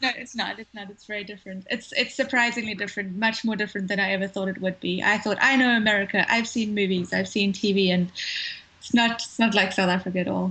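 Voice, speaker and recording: Very fast speech with fairly even intonation and big swings in loudness, over noticeable background noise. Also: woman, medium pitch for a woman. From South Africa; Cape Town. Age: young. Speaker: filmmaker. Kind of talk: interview answer. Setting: phone line.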